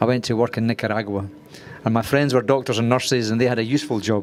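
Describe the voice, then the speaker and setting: A man in a Glaswegian accent, fairly even intonation, noticeable background noise behind him. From Scotland, Glasgow. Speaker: screenwriter. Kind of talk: masterclass talk. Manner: fast; hesitant, many fillers.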